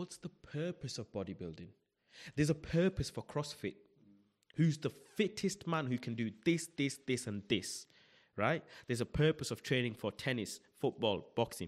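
At a moderate pace, a man with a fairly high voice and vocal fry speaks with very wide pitch swings. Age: 20s. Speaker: podcast host. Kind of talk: casual chat. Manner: animated.

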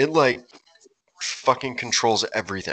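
The man's voice sits at a medium pitch with a bright, sharp tone and a fairly quick pace. The sound is dry and close, without echo. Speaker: podcast co-host. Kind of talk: casual banter, comedic rants. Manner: profane, jokey.

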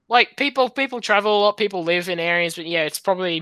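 Speaking with an Australian accent, a man has a high pitch, a bright, sharp tone and ordinary pitch variation. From Sydney, Australia. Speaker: podcast guest.

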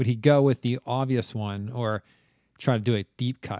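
In an animated tone, a man speaks at a moderate pace. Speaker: podcast host. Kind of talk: game show banter. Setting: video call. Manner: animated, jokey.

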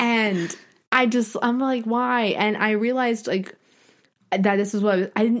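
A woman with a normal speaking voice talks at a fairly high pitch and ordinary pitch variation, on a very clean recording with a silent background. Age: 20s. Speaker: podcast co-host, aspiring screenwriter. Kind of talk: casual chat.

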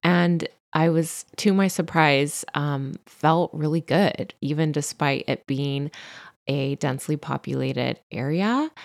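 In a very clean recording with a silent background and a dry, close sound free of echo, a woman with a Californian accent speaks very slowly at a very deep, low pitch with ordinary pitch variation. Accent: Californian Valley Girl. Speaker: podcast host and stylist. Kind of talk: solo podcast storytelling.

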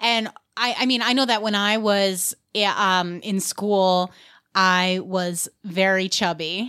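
A woman with a New York accent speaks at a very slow pace and a medium pitch. The recording is very clean, with a silent background. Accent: New York American. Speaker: comedy podcast host. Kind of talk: casual comedy banter.

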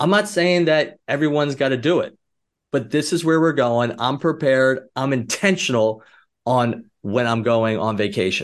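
A man talks at a moderate pace with an animated tone, lively intonation and very even loudness. The background is quiet. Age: 40s. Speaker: entrepreneur. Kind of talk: casual chat. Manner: animated, high energy.

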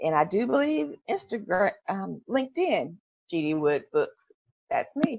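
In a Memphis accent, the voice moves at a fairly slow pace with very wide pitch swings. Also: woman, medium pitch for a woman. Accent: Southern US (Memphis). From US South, Memphis, Tennessee. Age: 40s. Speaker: author. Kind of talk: interview.

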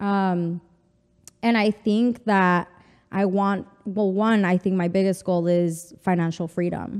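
Speaking very slowly with a Spanish accent, a woman keeps a medium pitch, very even loudness and a monotone, flat intonation. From El Paso, Texas (US-Mexico border). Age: 30s. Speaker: fashion stylist and consultant. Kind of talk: casual interview chat. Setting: studio.

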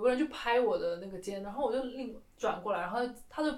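A woman's voice carries audible room echo. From mainland China. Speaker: museum worker and podcast co-host. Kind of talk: casual chat.

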